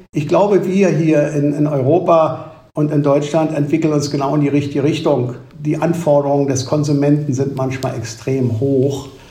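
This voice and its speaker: Music plays in the background and the room echo is audible. A man with a fairly high pitch speaks at a moderate pace. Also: fairly even intonation. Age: 70s. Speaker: managing director of an ice cream company. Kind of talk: interview.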